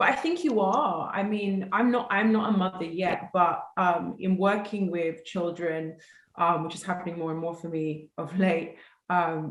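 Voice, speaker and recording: The speaker has a London accent and a fairly slow pace. Pitch varies in an ordinary way, and room echo is audible. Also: woman, fairly low pitch for a woman. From South London, England. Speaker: actress. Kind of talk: casual interview.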